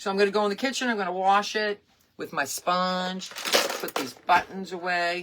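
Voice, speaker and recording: A woman with an American accent speaks at a medium pitch over noticeable background noise. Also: ordinary pitch variation, moderate pace. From Massachusetts, Hull near Boston. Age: 60s. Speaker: crafter and livestream host. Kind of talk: casual craft livestream.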